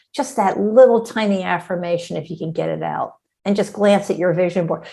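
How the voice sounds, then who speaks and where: A woman speaks fairly quickly at a fairly low pitch with ordinary pitch variation. Her tone is dark and mellow. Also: very clean recording, silent background. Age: 60s. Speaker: mental toughness coach. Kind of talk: interview. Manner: animated.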